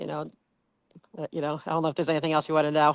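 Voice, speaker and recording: A woman with a New Jersey accent speaks at a very deep, low pitch on a very clean recording with a silent background. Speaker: community activist. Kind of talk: interview conversation. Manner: halting.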